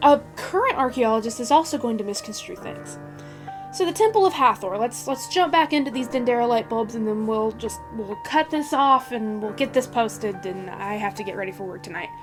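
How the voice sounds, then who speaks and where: A woman's fairly high voice with very wide pitch swings, over music in the background. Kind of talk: casual talk to camera.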